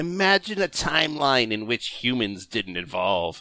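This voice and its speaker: Speaking very slowly, a man with a medium-pitched voice and a bright, sharp tone makes very wide pitch swings. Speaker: podcast panelist. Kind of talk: comedic reading of forum posts.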